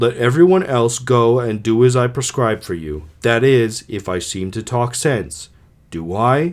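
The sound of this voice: The reading voice here is unforced.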